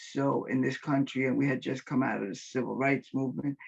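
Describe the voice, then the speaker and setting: Vocal fry runs through a woman's very deep, low voice as she talks at a fairly quick pace. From New York, the Bronx. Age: 50s. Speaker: retired teacher and sociologist. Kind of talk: interview. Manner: hesitant, many fillers.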